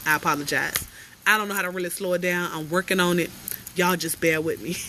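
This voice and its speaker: A woman talks at a very fast pace in an animated tone with a fairly low pitch. Noticeable background noise runs behind her. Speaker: life coach. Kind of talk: motivational livestream talk. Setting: outdoors on porch, livestream.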